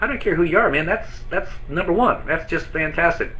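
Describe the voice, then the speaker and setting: Over noticeable background noise and audible room echo, a man talks at a fairly quick pace with ordinary pitch variation. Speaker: network marketing trainer. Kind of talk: webinar training presentation. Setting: live online broadcast from an office. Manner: fast.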